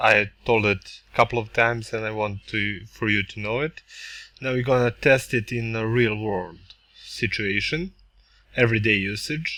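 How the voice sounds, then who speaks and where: A man with a non-native accent speaks at a moderate pace in a medium pitch. His tone is bright and sharp, with ordinary pitch variation. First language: not English. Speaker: tech reviewer. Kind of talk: product review tutorial. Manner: halting.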